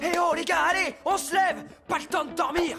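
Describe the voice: A woman uses a cartoonish character voice at an extremely high pitch, bright and sharp, with ordinary pitch variation. She goes at a fairly quick pace, with faint music in the background.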